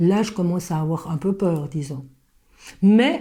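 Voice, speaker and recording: Fairly slow and somewhat breathy, a woman speaks at medium pitch with a dark, mellow tone. Her intonation is lively. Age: 70s. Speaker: stage actress. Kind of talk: interview. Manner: halting.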